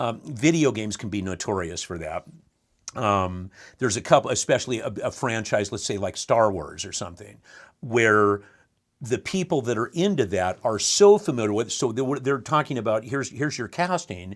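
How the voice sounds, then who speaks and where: A man's animated voice at a moderate pace, in a very clean recording with a silent background. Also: lively intonation. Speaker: voice actor. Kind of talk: interview.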